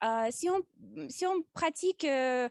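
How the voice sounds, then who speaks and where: Speaking at a very slow pace with a slight non-native accent, a woman has a high pitch and ordinary pitch variation in a dry, close sound with no echo. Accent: slight foreign accent in French. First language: not French (speaking French). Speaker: public speaking club member. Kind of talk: prepared speech. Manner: halting, many hesitations.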